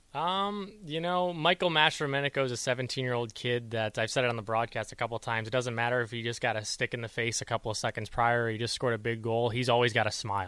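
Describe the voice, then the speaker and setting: A man with an American accent speaks at a very fast pace with hardly any pauses, using a medium pitch, ordinary pitch variation and a bright, sharp tone, on a very clean recording with a silent background. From US Midwest (Chicago). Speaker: hockey play-by-play announcer. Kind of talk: radio interview. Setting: radio studio.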